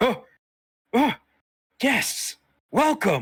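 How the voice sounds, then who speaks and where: Here a man uses a put-on character voice. His pitch is extremely high. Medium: actual play. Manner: eager, proud salesman.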